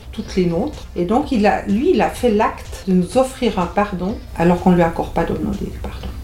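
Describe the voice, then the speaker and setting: This woman's speech moves fairly quickly while noticeable background noise carries on behind her. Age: 60s. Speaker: marriage and family counselor. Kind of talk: radio interview.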